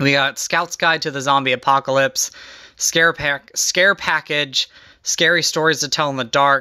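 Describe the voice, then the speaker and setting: The voice sounds shaky. It moves at a moderate pace. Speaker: YouTuber showing movie collection. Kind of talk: casual collection overview. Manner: shaky voice; hesitant with fillers.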